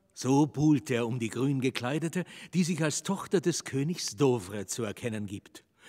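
In a very clean recording with a silent background and a dry, close sound with no echo, a man with a dark, mellow tone speaks at a moderate pace with lively intonation. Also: medium pitch for a man. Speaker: narrator. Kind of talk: scripted stage narration, reading stage directions. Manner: measured, storytelling, dramatic.

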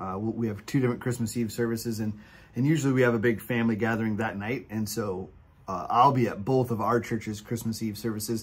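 A man's somewhat breathy voice moves along at a fairly quick clip, his intonation staying fairly even. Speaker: podcast co-host. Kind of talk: casual podcast chat. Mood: jolly, festive. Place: home room. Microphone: earbuds.

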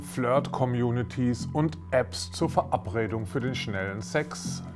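A man talks very slowly with music playing in the background. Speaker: show host presenting a tech magazine. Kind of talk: TV presenter intro.

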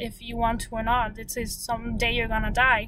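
Monotone and flat, a woman speaks at a moderate pace with a dry sound and no echo. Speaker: vlogger. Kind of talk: casual vlog chat. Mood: reflective, calm. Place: car. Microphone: phone near.

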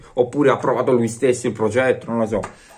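A man speaks at a fairly quick pace. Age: young. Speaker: YouTuber sports commentator. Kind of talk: casual vlog commentary. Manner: animated. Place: home room. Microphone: phone near.

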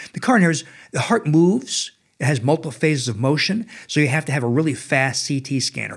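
The recording is very clean, with a silent background. A man with an American accent speaks at a fairly quick pace, his voice somewhat breathy. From New Jersey, US. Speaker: cardiologist. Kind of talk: interview. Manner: animated.

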